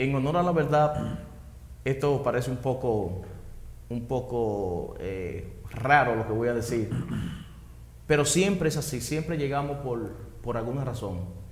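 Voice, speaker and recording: A man with a medium pitch speaks at a fairly slow pace with lively intonation and long, frequent pauses, amid light background noise and audible room echo. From Dominican Republic, Maimón de Bonao; Dominican Republic. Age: 40s. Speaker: interviewee. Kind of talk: testimony. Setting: at home. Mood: earnest, reflective. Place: studio. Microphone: lapel.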